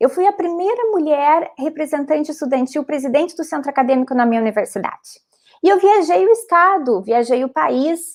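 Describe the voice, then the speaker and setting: The speaker has a strong Rio Grande do Sul accent and a moderate pace. The pitch swings very widely. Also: woman. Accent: strong gaúcho border. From southern Brazil, Rio Grande do Sul border region (São Borja). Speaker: lawyer, panelist. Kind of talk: panel talk, personal testimony. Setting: live-streamed online panel. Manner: halting, many false starts.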